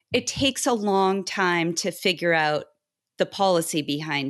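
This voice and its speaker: An unremarkable speaking voice with an American accent, a fairly slow pace, ordinary pitch variation, and a quiet background. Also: woman. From Boston. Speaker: in-house tax counsel. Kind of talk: interview.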